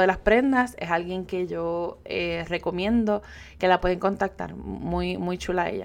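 The recording is very clean with a silent background as a woman talks at a fairly slow pace. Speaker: podcast host and digital business coach. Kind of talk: solo podcast monologue.

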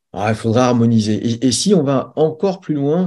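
Over a quiet background, a man with a dark, mellow, somewhat breathy tone talks fairly quickly with lively intonation. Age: 40s. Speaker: strength and conditioning coach. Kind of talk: interview.

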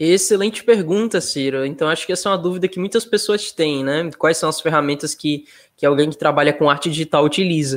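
A plain, everyday voice moves at a fairly quick pace with hardly any pauses and ordinary pitch variation. The recording is very clean, with a silent background. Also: man, fairly high pitch for a man. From Sergipe, Brazil (Nossa Senhora do Socorro). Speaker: digital artist. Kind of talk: interview.

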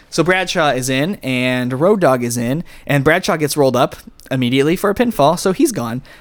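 A man with a fairly high pitch, an unremarkable speaking voice, lively intonation and a fairly quick pace. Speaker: wrestling podcast host. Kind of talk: casual chat.

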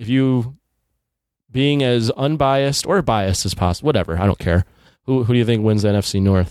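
Speaking fairly quickly with ordinary pitch variation, a man with a normal speaking voice is heard on a very clean recording against a silent background. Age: 30s. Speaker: podcast host. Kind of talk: casual chat.

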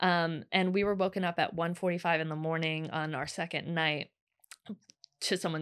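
Monotone, flat intonation marks this woman's speech. She talks at a fairly slow pace in a fairly low pitch. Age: 30s. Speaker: cooking content creator. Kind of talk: casual chat.

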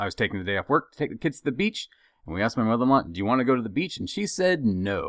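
A man's voice swings very widely in pitch and carries vocal fry. The recording is very clean, with a silent background. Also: dry, close sound with no echo. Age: 30s. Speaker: podcast co-host. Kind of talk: casual chat.

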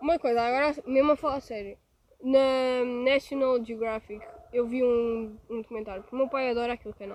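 A woman with a European Portuguese accent speaks at a high pitch and fairly quick pace, her intonation fairly even but her loudness swinging widely. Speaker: podcast co-host. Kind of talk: casual chat.

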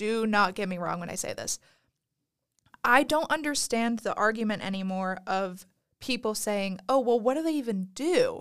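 In a very clean recording with a silent background, a woman speaks at a moderate pace in a plain, everyday voice with fairly high pitch. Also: lively intonation. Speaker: college student podcast co-host. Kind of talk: casual chat.

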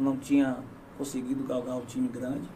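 A man talks with ordinary pitch variation as audible room echo fills the space. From southern Bahia, Brazil. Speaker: local politician and former footballer. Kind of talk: casual interview.

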